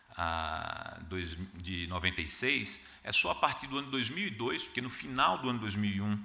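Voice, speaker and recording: A man's lively intonation with audible room echo. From Brazil, Paraíba (João Pessoa). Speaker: arbitration lawyer and panelist. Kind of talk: conference talk. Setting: conference hall with audience. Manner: hesitant, frequent filler 'ah'.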